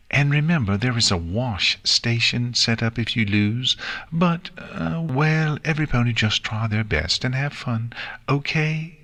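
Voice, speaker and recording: A man's put-on character voice, sing-song, at medium pitch and a moderate pace. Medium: read story. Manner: refined, sing-song.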